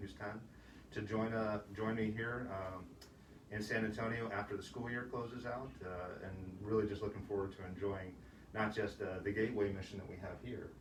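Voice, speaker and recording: A man with an American accent speaks in a fairly low pitch with a monotone, flat intonation. Audible room echo and noticeable background noise fill the recording. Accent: Massachusetts accent, somewhat flattened. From Massachusetts, US. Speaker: military command chief. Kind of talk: casual interview. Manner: hesitant with many filler words.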